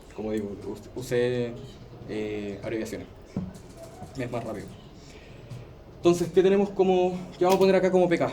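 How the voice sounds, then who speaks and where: Against music in the background and audible room echo, a man at a medium pitch speaks with very wide pitch swings, big swings in loudness and long, frequent pauses. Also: moderate pace. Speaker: teaching assistant. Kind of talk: tutorial class.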